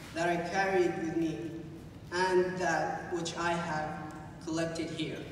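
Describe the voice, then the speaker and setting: A man speaks with a high pitch. There is strong room echo and light background noise. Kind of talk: prepared speech. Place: hall. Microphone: pa.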